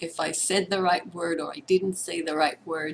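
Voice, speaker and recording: With an Israeli accent, a woman with a medium-pitched voice speaks at a fairly slow pace with fairly even intonation. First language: Hebrew. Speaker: participant. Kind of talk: sharing circle. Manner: halting.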